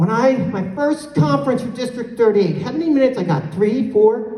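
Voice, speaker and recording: A woman talks in an animated tone with very wide pitch swings. Audible room echo surrounds her voice. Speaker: conference speaker. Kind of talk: conference keynote address. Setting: stage with audience.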